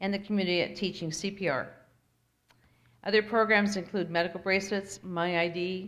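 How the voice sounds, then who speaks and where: Medium in pitch, a woman talks in an ordinary speaking voice with fairly even intonation. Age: 60s. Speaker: mayor. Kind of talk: state of the city speech.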